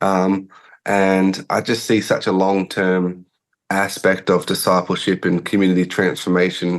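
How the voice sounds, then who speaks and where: A man speaks with an Australian accent in a very deep, low voice. His intonation stays monotone and flat. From Australia, rural South Australia. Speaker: pastor and church planter. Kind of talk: interview. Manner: hesitant, many fillers.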